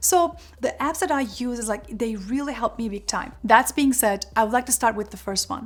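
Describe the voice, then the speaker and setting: Fairly high-pitched with vocal fry, a woman speaks with ordinary pitch variation. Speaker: career and productivity youtuber. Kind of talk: tutorial. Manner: fast.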